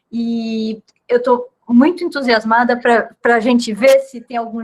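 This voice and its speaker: A woman's voice, fairly high in pitch. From Brazil. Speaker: physicist, invited colloquium speaker. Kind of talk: casual setup chat before talk; academic lecture (colloquium talk). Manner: halting, many repetitions.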